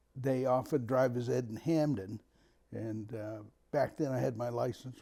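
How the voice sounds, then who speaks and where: At a moderate pace, a man speaks with a dark, mellow tone, medium pitch and fairly even intonation. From Maine, Winterport near Bangor. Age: 70s. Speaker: local resident recalling town history. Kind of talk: oral history interview.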